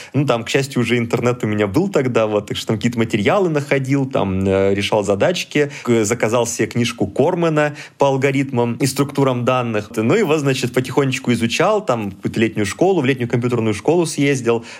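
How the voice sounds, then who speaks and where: An unremarkable speaking voice from a man at medium pitch, fairly quick pace, ordinary pitch variation and hardly any pauses. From southern Russia, Rostov region. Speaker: computer science lecturer. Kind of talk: casual interview.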